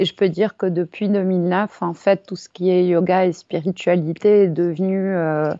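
With monotone, flat intonation, a woman talks at a medium pitch and a fairly slow pace. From Paris, France. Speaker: yoga teacher. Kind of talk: casual interview. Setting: remote call. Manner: hesitant, many fillers.

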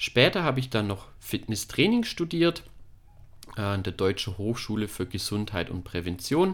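Pitched fairly low, a man speaks at a moderate pace with very wide pitch swings. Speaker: physiotherapist and fitness studio owner. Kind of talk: podcast introduction. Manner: hesitant, with frequent fillers.

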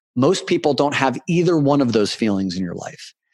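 A man has an ordinary speaking voice and talks at a moderate pace. The sound is dry and close, with no echo. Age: 40s. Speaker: men's coach. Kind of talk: interview.

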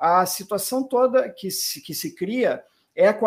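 In a southern Brazilian accent, a man speaks at a very slow pace on a very clean recording with a silent background. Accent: gaúcho Brazilian Portuguese, noticeable. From southern Brazil, Rio Grande do Sul. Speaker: physician, rheumatologist. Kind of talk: interview.

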